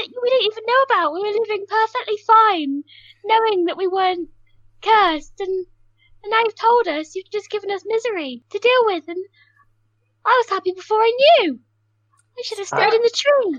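A woman's extremely high pitch with ordinary pitch variation, a moderate pace, and long, frequent pauses

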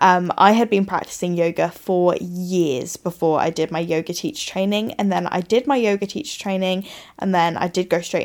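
A woman talks with an English accent. She hardly pauses at all. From England. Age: 20s. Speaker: podcast host and coach. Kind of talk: casual monologue. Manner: chatty, filler-heavy.

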